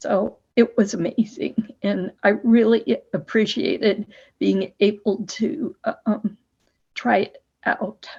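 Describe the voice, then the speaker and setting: Speaking at a very slow pace, a woman's somewhat breathy voice carries lively intonation. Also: fairly high pitch for a woman. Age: 70s. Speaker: person with spasmodic dysphonia. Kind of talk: testimony.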